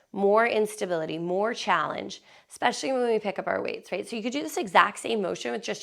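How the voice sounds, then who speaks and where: Talking at a very fast pace with hardly any pauses, a woman shows vocal fry at medium pitch and ordinary pitch variation. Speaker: fitness instructor. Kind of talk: workout instruction. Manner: casual, chatty.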